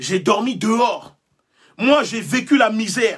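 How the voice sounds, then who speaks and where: A man speaks with a West African accent. His intonation is lively. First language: Mina/Ewe (speaking French). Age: young. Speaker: activist leader. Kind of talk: live-stream speech. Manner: impassioned, oratorical.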